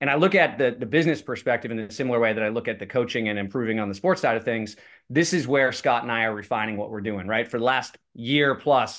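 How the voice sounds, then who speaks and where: A man speaks very fast at a medium pitch, with ordinary pitch variation over a quiet background. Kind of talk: casual chat.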